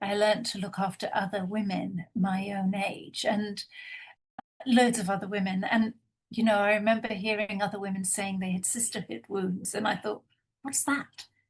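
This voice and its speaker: A somewhat breathy voice with flat, monotone intonation. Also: woman, medium pitch for a woman, moderate pace. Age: 60s. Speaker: intimacy professional. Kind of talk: panel discussion.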